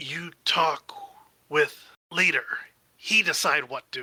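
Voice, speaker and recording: A man puts on a raspy, high character voice. He talks at a fairly slow pace. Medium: actual play. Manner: halting broken grammar.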